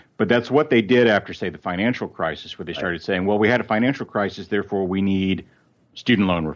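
A man with an American accent speaks very fast in a fairly low pitch. His pitch variation is ordinary, and the background is quiet. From West Texas (Lubbock). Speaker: political writer and commentator. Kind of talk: casual chat.

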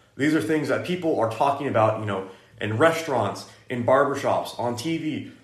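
Somewhat breathy and fairly high in pitch, a man talks with ordinary pitch variation. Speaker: podcast host, Bible college student. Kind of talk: casual faith discussion podcast.

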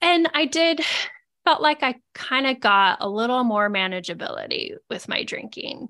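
A bright, sharp tone rings out in a raised, projected voice with very wide pitch swings. The pace is moderate against a quiet background. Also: woman, high pitch for a woman. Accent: American. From Idaho, US. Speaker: nurse and sobriety podcast host. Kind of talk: casual interview chat.

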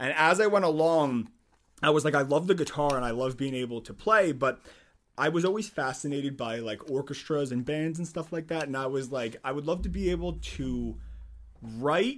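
With an American accent and an unremarkable speaking voice, a man speaks at a moderate pace in a fairly high pitch with ordinary pitch variation, recorded very cleanly against a silent background. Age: 20s. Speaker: musician and lab chemist. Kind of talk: casual interview.

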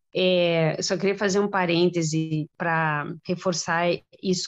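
A woman keeps a fairly low pitch and monotone, flat intonation while talking at a moderate pace. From Brazil. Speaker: teacher. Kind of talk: casual interview.

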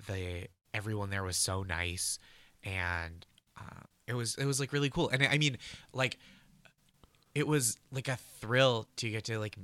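A man with an American accent talks at a fairly slow pace with long, frequent pauses, his medium-pitched voice bright and sharp on a very clean recording with a silent background. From US Northeast, North Shore of Massachusetts. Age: 30s. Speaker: comedy writer and stand-up comedian. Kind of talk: casual interview.

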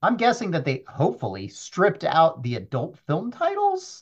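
The background is quiet as a man speaks at a moderate pace. His voice is somewhat breathy. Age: 30s. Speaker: data analyst. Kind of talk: casual chat. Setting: at home.

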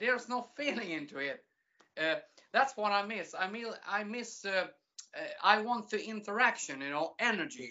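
With a Swedish accent and vocal fry, a woman speaks at a fairly high pitch that swings very widely, leaving long, frequent pauses. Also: moderate pace. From Sweden. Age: 40s. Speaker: music entertainer and aspiring adult performer. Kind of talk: casual interview.

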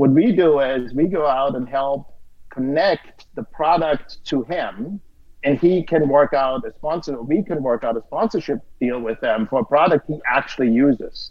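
A man with a German accent, fairly high pitch, ordinary pitch variation and moderate pace. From Austria. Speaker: streaming platform co-founder and CEO. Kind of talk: casual interview chat.

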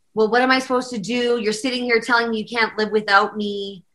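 With a western Canadian accent, a woman talks at a fairly high pitch in a bright, sharp tone. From Calgary, Alberta, Canada. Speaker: country singer-songwriter and pianist. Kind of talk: casual interview chat.

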